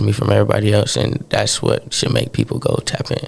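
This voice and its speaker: Noticeable background noise fills the clip. Over it, a man talks at a fairly quick pace. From Caribbean roots, grew up in Atlanta. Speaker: rapper. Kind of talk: interview. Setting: radio studio.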